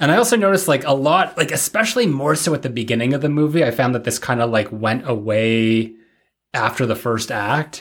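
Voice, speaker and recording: On a very clean recording with a silent background, a man with an ordinary speaking voice talks at a fairly quick pace in a medium pitch with lively intonation. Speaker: podcast host. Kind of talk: casual chat.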